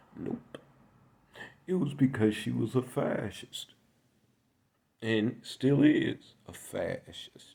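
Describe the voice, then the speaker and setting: A man talks at a very slow pace. Long, frequent pauses break up his speech. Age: 60s. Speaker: political commentator. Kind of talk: political monologue.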